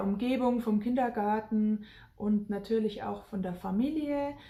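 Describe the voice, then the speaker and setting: Speaking at a very slow pace, a woman with a medium-pitched, somewhat breathy voice and a dark, mellow tone keeps a fairly even intonation amid audible room echo. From Germany, rural Bavaria. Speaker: family vlogger emigrating to Africa. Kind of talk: casual vlog talk.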